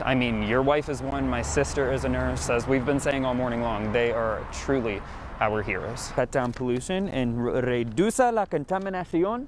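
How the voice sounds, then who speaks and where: A man with an American accent speaks at a moderate pace in an upbeat tone, with lively intonation and hardly any pauses. Noticeable background noise runs underneath. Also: medium pitch for a man. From Arizona, United States. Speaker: television reporter and anchor. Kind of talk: casual morning show banter with co-anchors. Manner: upbeat, friendly.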